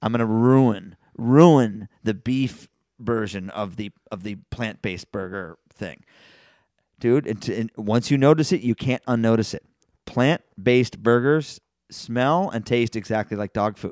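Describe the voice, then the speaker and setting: A man with an American accent talks at a fairly slow pace in an unremarkable speaking voice, medium in pitch with ordinary pitch variation. The sound is dry and close with no echo, on a very clean recording with a silent background. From Washington DC. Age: 50s. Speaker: podcast host. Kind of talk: casual chat.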